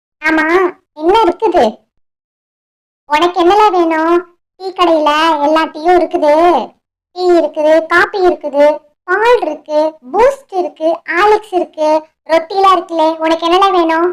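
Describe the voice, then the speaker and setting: The voice sounds female and is a cartoonish character voice. It is extremely high in pitch and goes at a fairly slow pace. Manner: blunt, calls people "le".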